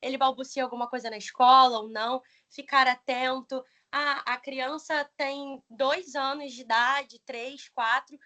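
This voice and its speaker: Raised and projected, a woman's high-pitched voice has a bright, sharp tone, monotone, flat intonation, big swings in loudness and a fairly slow pace. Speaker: pedagogy student and teacher. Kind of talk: presentation.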